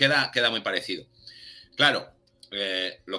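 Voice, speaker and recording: In a bright, sharp tone, a man talks fairly quickly. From Spain, Barcelona; Catalonia, Spain. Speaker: documentary channel creator; interview guest. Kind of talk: casual interview chat. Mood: relaxed, conversational. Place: home room. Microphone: webcam.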